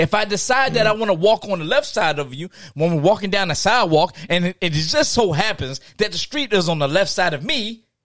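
An animated voice at a fairly quick pace, in a dry, close sound with no echo. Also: man. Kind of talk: stand-up comedy riff, animated rant about opening doors for women. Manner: animated, loud, profane, indignant, punchy with mock outrage.

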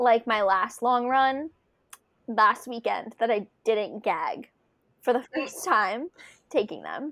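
The recording is very clean, with a silent background. A woman speaks very slowly in a high voice. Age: 20s. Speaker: emergency manager and marathon runner. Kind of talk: casual interview chat.

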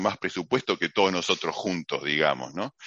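A man speaks in a Rioplatense accent with a very deep, low pitch. His voice carries vocal fry. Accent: Argentine Rioplatense Spanish. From Argentina, Mar del Plata. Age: 50s. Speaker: technology executive. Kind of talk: interview.

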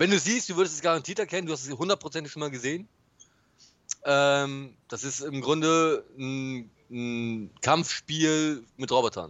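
Here a man speaks in an ordinary speaking voice at a moderate pace. His fairly high pitch shows ordinary pitch variation. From northern Germany, Bremen. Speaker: podcast co-host. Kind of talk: casual chat.

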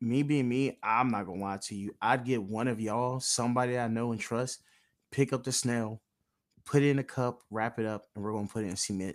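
On a very clean recording with a silent background, a man has an unremarkable speaking voice at medium pitch with fairly even intonation. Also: fairly quick pace. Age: 20s. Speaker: podcast host. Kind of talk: casual chat.

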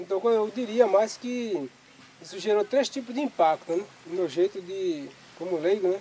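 A man's high-pitched voice at a moderate pace, with ordinary pitch variation and noticeable background noise. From Pernambuco, Brazil (rural south coast). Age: 50s. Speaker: fisherman and community museum founder. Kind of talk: interview testimony.

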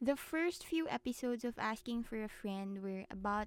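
At a moderate pace, a woman talks with a Filipino accent in a fairly high pitch. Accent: Filipino English, Taglish code-switching. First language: Tagalog. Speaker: podcaster. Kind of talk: tutorial. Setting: home recording. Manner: casual, chatty.

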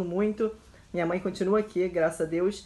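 A woman speaks at a moderate pace. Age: 30s. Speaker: journalist and new mother. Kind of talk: testimony.

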